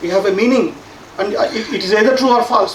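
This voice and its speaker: A man with a Telugu accent speaks at an extremely high pitch, with ordinary pitch variation, audible room echo and noticeable background noise. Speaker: science education professor. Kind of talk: conference talk. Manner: halting, many fillers and repeats.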